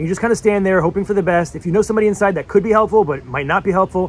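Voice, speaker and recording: Words pour out of a man at a very fast pace. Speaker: artist vlogger. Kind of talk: casual vlog storytelling. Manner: hesitant with many fillers.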